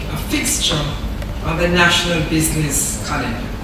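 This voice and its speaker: At a fairly slow pace, the speech comes through strong room echo and noticeable background noise. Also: woman. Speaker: keynote speaker. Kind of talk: formal speech. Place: hall.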